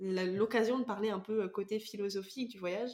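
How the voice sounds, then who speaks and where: A normal speaking voice moves along at a fairly quick pace. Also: woman. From France, Vendée. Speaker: podcast host. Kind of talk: casual interview chat.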